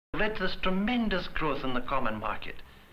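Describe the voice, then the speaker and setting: Against noticeable background noise, a man speaks high and fairly quickly with very wide pitch swings. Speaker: interviewer. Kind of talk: television interview questions.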